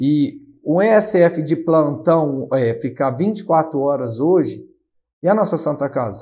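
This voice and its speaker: Here a man speaks at a very slow pace with a dark, mellow tone. His pitch is fairly high and his intonation lively. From São Paulo state, Brazil. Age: 20s. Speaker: city councillor. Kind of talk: interview. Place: studio. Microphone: lapel.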